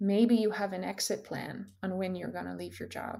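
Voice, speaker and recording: Speaking at a fairly slow pace, a woman talks with a Dutch accent. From Netherlands. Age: 20s. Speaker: career coach. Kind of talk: casual chat.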